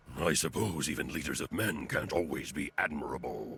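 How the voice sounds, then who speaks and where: A man uses a put-on character voice, very deep and low in pitch, with ordinary pitch variation at a moderate pace. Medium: video game. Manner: calm, dignified.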